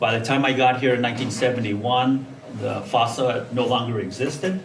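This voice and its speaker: Fairly quick, fairly even delivery from a man of medium pitch with an American accent, amid audible room echo and noticeable background noise. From California, Salinas Valley. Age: 70s. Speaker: alumnus guest speaker. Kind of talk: interview talk.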